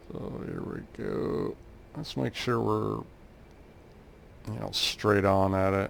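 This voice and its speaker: A man with an American accent at a very slow pace, with long, frequent pauses. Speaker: flight sim gaming youtuber. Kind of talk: gameplay tutorial commentary. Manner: casual, with frequent filler 'uh'.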